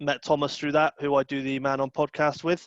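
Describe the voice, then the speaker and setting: Against a quiet background, a man speaks at a moderate pace in a fairly high pitch with monotone, flat intonation. The sound is dry and close, with no echo. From Bristol, South West England. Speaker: podcaster, podcast guest. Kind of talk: casual chat. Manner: halting, many fillers and repeats.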